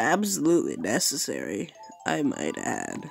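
Background music plays throughout. The speech unfolds at a fairly slow pace. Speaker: gaming video creator. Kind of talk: gameplay commentary. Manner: animated.

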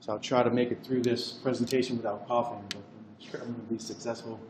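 A man talks at a very fast pace. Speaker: cardiovascular radiologist. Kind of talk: lecture.

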